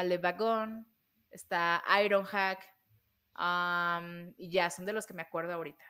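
A woman at medium pitch, bright and sharp in tone, against a quiet background. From Mexico. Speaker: programming educator. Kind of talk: casual chat. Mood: friendly, explanatory.

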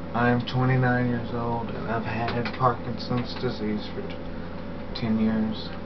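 Very slowly, a man speaks over noticeable background noise. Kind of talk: personal video diary explanation. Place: home room. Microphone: webcam.

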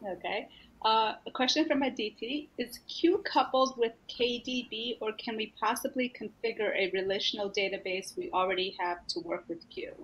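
The speaker is a woman with a fairly high pitch. Her intonation is lively. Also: moderate pace, hardly any pauses. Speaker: data science community organizer; presenter. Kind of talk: webinar introduction and moderation. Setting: video call webinar. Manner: halting, many fillers. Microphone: webcam.

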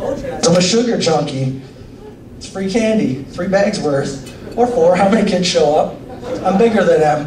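At a moderate pace, a man talks while noticeable background noise continues. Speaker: stand-up comedian. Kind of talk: stand-up comedy routine. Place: stage.

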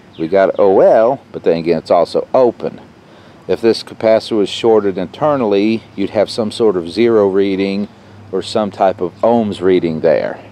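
A man with a fairly low voice and a dark, mellow tone speaks at a moderate pace. His pitch varies in an ordinary way, and the sound is dry with no echo. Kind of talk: tutorial. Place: garden. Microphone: camera far.

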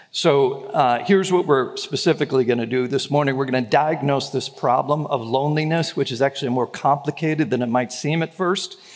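At a fairly quick pace, a man speaks with pitch that rises and falls in an ordinary way. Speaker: pastor. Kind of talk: sermon. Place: church. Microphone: headset.

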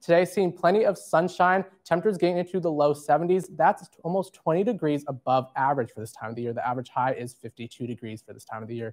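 A man with an American accent and a fairly high voice talks very fast with hardly any pauses, using lively intonation and big swings in loudness. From United States. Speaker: broadcast meteorologist. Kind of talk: TV weather forecast. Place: studio. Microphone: lapel.

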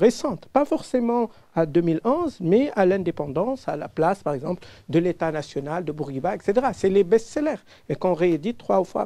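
A moderate pace against a quiet background. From Tunisia. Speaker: audience member. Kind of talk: audience question. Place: hall.

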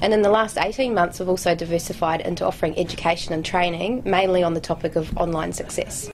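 With light background noise, a woman with a fairly low pitch talks at a very fast pace and ordinary pitch variation. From UK. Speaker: creative agency director. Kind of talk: interview. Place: office.

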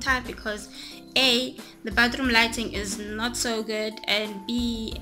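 A woman at a fairly slow pace, with clear music in the background. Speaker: beauty vlogger. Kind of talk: casual vlog chat. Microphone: phone near.

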